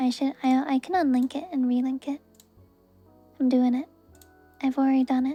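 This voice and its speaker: A soft-spoken woman's high-pitched voice with monotone, flat intonation, moderate pace, and long, frequent pauses over music in the background. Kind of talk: tarot reading stream to viewers. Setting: livestream with handcam.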